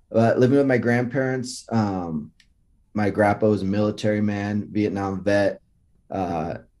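Against a quiet background, a man with an American accent has an unremarkable speaking voice, fairly low in pitch with ordinary pitch variation. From US West Coast, Los Altos, California. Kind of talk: faith testimony in casual interview.

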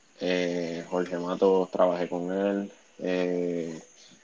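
A man's very deep, low voice stays monotone and flat in intonation against noticeable background noise. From Puerto Rico (Bayamón). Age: 20s. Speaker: basketball coach. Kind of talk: casual chat.

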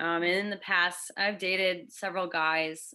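Against a quiet background, a woman with an American accent speaks at a fairly low pitch and a fairly slow pace, her bright, sharp tone carrying ordinary pitch variation. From Connecticut. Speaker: middle school theology teacher. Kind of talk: casual interview. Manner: hesitant, many fillers.

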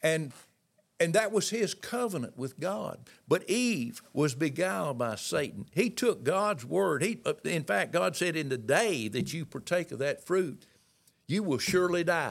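A man with a high voice speaks at a fairly slow pace with very wide pitch swings, captured in a very clean recording against a silent background. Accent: Southern US. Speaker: Pentecostal minister and author. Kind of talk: sermon-style teaching. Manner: halting, stammering.

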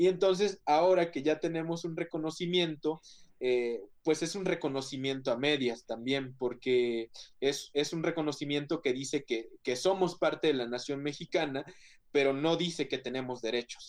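A man's plain, everyday voice, fairly high in pitch, with ordinary pitch variation at a moderate pace. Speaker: photographer and activist. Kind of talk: panel discussion. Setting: video call.

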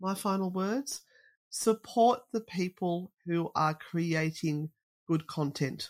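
In an Australian accent, a woman talks at a very slow pace, her medium pitch showing ordinary variation. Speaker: paranormal investigator. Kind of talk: casual interview chat.

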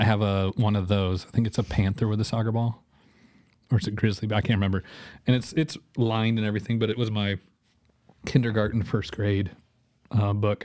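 With an American accent, the speaker talks in a flat monotone broken by long, frequent pauses, in a very clean recording with a silent background. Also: man, fairly low pitch for a man, fairly quick pace. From Missouri, Joplin. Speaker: animator. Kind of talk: casual chat.

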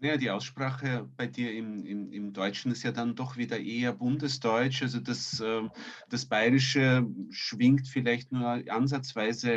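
In an ordinary speaking voice, a man talks at a fairly slow pace, with medium pitch and fairly even intonation. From emigrated as a child, raised partly elsewhere. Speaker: podcast co-host. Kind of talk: interview. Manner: formal.

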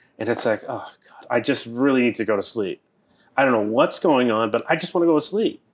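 A man with an American accent has a plain, everyday voice and a medium pitch. He talks at a fairly quick pace with lively intonation and big swings in loudness. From US East Coast, Boston. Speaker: Taoist priest and teacher. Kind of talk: casual interview chat.

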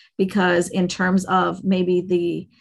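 A woman speaks at a medium pitch with vocal fry. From Caribbean. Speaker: attorney. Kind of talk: casual interview. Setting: podcast interview. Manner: halting, many restarts.

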